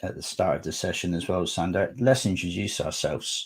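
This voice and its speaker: A man with a West Country accent speaks at a moderate pace, his fairly low voice somewhat breathy and showing ordinary pitch variation. The recording is very clean, with a silent background. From southwest England. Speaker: conference speaker, data architect. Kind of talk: technical presentation.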